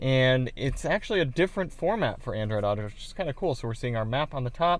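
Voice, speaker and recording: This man has a plain, everyday voice of medium pitch, with ordinary pitch variation at a moderate pace. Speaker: car audio reviewer. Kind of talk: product review demo. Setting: in a car.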